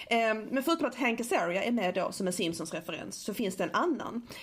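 A woman speaks in a Scanian accent. Her pitch is medium and her pace moderate. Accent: Scanian Swedish. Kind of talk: casual chat. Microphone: small portable recorder with clip-on mic, more room echo.

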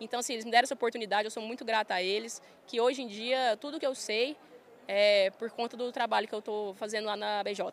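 At a very fast pace, a woman with a fairly high pitch speaks with fairly even intonation. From Goiás, Brazil (Goiânia). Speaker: farm manager and influencer. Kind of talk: casual interview. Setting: trade fair stand.

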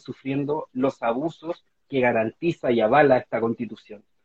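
A man speaks with a Chilean accent. His pitch is medium and his pace moderate. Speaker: constitutional convention candidate and novelist. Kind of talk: interview. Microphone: unreliable home internet connection.

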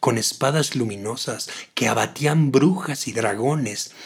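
Somewhat breathy, a man speaks at a fairly slow pace with ordinary pitch variation. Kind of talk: literary audiobook reading of a short story, narrated in a dramatic, expressive way.

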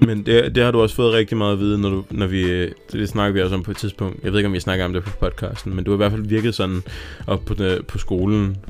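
Over noticeable background noise, a man talks at a very fast pace. His fairly low voice stays monotone and flat. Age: 20s. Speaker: podcast co-host. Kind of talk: casual chat.

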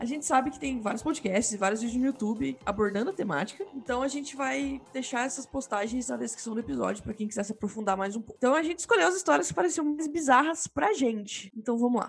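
Very fast and high-pitched, this woman's voice swings very widely in pitch. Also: hardly any pauses. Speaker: podcast host. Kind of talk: casual chat.

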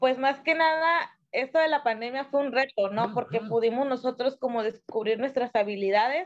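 With a high pitch, a woman speaks at a moderate pace. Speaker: gastronomy student. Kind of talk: casual chat.

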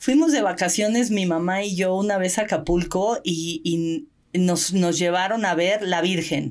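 A fairly slow pace sets the rhythm. It is a plain, everyday voice, and its pitch varies in an ordinary way. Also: woman, medium pitch for a woman. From Mexico. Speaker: Olympic swimmer and open-water coach. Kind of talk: casual interview.

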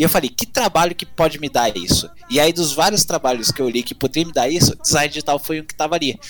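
With a strong Minas Gerais accent, a man talks at a fairly high pitch with ordinary pitch variation over noticeable background noise. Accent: strong rural Minas accent (caipira). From Minas Gerais, Brazil (rural). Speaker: university student. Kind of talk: casual chat.

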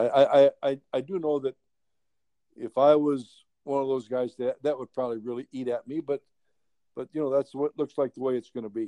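A man with a medium pitch and a dark, mellow tone talks at a moderate pace with fairly even intonation. The sound is dry and close with no echo. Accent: American. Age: 70s. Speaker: baseball coach and front-office executive. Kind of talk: casual interview chat.

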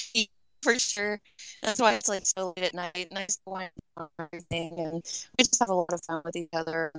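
Through a dry, close sound with no echo, a woman speaks fairly quickly in a fairly low voice with ordinary pitch variation and long, frequent pauses. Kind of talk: casual chat.

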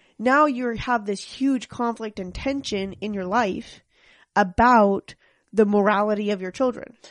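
A woman's voice pitched fairly high for her, with normal pitch movement and a rather unhurried pace. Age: 20s. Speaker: host's wife. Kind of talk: casual chat. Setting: studio. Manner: soft-spoken.

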